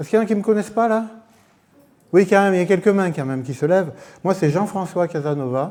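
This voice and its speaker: Very fast and high-pitched, this man's speech has a dark, mellow tone and ordinary pitch variation. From Corsica. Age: 60s. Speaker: churchgoer giving testimony. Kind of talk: testimony. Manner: halting.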